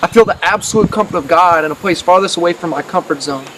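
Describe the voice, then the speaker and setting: Talking at a very fast pace, a man with a high pitch keeps his intonation fairly even against noticeable background noise. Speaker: spoken word poet, mission preacher. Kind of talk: spoken word poetry, preaching.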